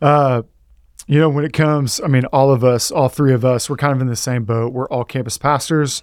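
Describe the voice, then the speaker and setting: A man with an ordinary speaking voice and an American accent talks at a moderate pace and medium pitch. His intonation is fairly even, on a very clean recording with a silent background. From Texas. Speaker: podcast host and pastor. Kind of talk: casual chat.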